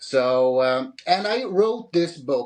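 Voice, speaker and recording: With a Swedish accent, a man speaks very slowly in a fairly high pitch, his intonation lively. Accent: Swedish, Scandinavian singing. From Sweden. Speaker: author. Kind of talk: interview. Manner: halting, repeats words.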